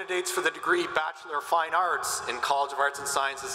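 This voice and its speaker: Audible room echo surrounds a man who speaks at a fairly quick pace with fairly even intonation. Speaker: university dean; candidate. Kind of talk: formal ceremonial presentation; formal ceremonial announcement. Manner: formal, measured. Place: stadium. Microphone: podium.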